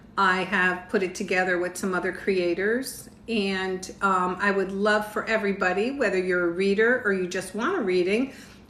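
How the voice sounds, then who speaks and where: In a room with audible echo, a woman speaks at a moderate pace with fairly even intonation. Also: medium pitch for a woman, hardly any pauses. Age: 60s. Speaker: tarot reader. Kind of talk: live stream tarot reading. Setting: livestream with viewer comments. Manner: casual, chatty.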